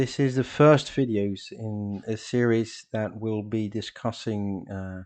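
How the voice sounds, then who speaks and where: Speaking at a very slow pace, a man with a Dutch accent keeps his fairly low voice in fairly even intonation. The background is quiet. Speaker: political educator reading group leader. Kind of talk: lecture. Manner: halting, many fillers.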